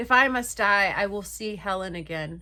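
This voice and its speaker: A woman uses a hoarse, put-on character voice at a medium pitch. She keeps a moderate pace with ordinary pitch variation. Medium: read story.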